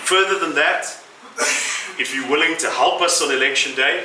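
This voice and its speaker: A man talks at a moderate pace with ordinary pitch variation. Noticeable background noise and audible room echo surround his voice. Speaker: city mayor. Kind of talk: political speech. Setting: venue with audience.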